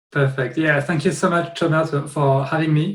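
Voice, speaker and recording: A man's voice comes across as somewhat breathy, with fairly even intonation. The background is quiet. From France. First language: French. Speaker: software founder; guest. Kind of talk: interview. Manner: halting, many repetitions. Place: home room. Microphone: webcam.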